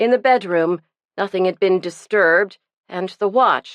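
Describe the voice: Plain reading aloud with ordinary pitch variation, set against a quiet background.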